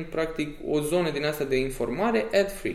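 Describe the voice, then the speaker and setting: Amid audible room echo and noticeable background noise, a man's speech proceeds at a moderate pace. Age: 20s. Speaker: event organizer. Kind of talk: casual interview.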